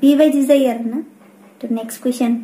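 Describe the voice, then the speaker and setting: At a moderate pace, a woman talks with a high pitch and fairly even intonation. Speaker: YouTuber answering viewer questions. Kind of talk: casual Q&A vlog. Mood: friendly, calm. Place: home room.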